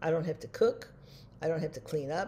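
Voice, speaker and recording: The tone is dark and mellow, somewhat breathy. Pitch varies in an ordinary way. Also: woman. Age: 80s+. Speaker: vlogger. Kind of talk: casual monologue.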